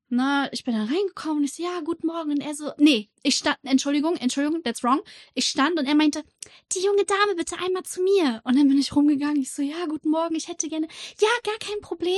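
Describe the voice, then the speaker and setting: The delivery runs at a very fast pace with lively intonation. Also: woman. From Rostock, northern Germany. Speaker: podcast co-host. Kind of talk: casual chat.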